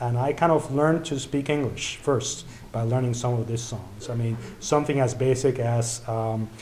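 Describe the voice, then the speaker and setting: A man with a Spanish accent at a medium pitch and moderate pace, with audible room echo. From Mexico (Mexico City). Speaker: event organizer and emcee. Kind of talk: event speech. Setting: church event with audience.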